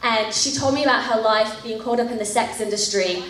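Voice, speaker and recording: A woman with an American accent and a fairly high pitch speaks with ordinary pitch variation amid noticeable background noise and audible room echo. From England, rural village. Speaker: missionary leader. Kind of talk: testimony.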